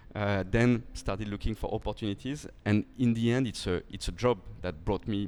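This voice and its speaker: A man with a French accent speaks with fairly even intonation. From France. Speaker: company founder and CEO. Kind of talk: podcast interview. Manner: halting, many repetitions and fillers.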